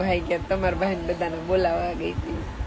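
A woman's voice with noticeable background noise. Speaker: live streamer. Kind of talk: casual chat.

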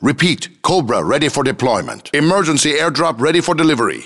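Against noticeable background noise, a man speaks at a fairly quick pace. His pitch is fairly high with ordinary variation. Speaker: video game announcer voice. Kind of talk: video game announcer callouts. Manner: clipped, military.

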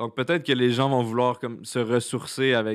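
Over a quiet background, a man with a Quebec accent talks at a medium pitch with fairly even intonation. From Quebec, Laurentides. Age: 20s. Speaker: content creator. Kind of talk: casual chat. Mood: relaxed, cheerful. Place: studio. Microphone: studio mic.

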